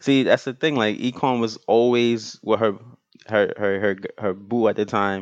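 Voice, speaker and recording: Moderate pace and fairly even intonation from a man at a medium pitch. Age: 30s. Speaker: photographer and writer, works in finance. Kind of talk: casual chat. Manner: halting.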